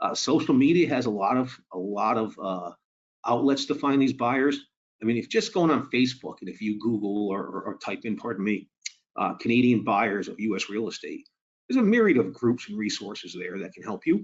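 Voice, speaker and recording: A man with a Boston accent, medium pitch, lively intonation, a fairly quick pace and big swings in loudness. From Boston, US. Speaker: mortgage lending presenter. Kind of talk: webinar presentation. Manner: conversational, some filler and repetition.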